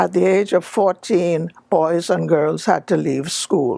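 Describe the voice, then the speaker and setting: A very slow voice with vocal fry, very wide pitch swings and a Bahamian accent. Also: woman. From Bahamas, Long Island. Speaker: public figure telling her life story. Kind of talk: personal life story talk.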